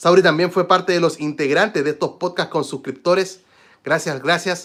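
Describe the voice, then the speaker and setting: A man talks at a moderate pace in a high pitch, with fairly even intonation. The recording is very clean and the background silent. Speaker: tech youtuber teaching phone tips. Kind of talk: live stream chat. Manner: louder than usual, then lowering.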